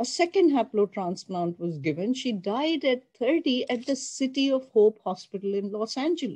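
Against a quiet background, a woman with a dark, mellow tone speaks at a moderate pace, her pitch swinging very widely. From Pakistan. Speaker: oncologist professor. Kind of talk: lecture. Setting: video call. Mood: somber, earnest. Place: home room.

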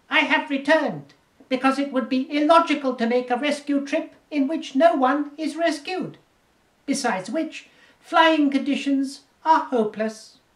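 A man's put-on character voice at an extremely high pitch and moderate pace. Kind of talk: audiobook character reading. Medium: read story. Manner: clipped, logical, deadpan.

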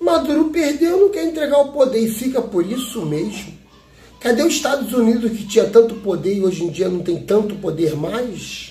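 This man's voice sits at an extremely high pitch and makes very wide pitch swings. He speaks at a moderate pace, and audible room echo surrounds him. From Brazil. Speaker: YouTube commentator. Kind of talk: political commentary monologue. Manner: animated. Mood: indignant political opinion. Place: home room. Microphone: phone near.

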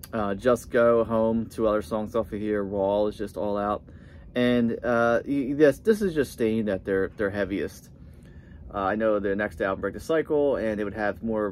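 Light background noise sits behind a man with an ordinary speaking voice and fairly low pitch who speaks at a moderate pace. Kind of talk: casual vlog chat. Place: home room. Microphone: phone near.

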